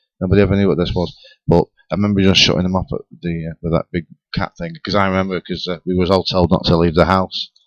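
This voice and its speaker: A man's very deep, low, monotone voice with a Lancashire accent, very fast pace and a dry, close sound with no echo. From northern England, Rossendale, Lancashire. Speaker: paranormal talk show panelist. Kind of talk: casual chat. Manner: halting.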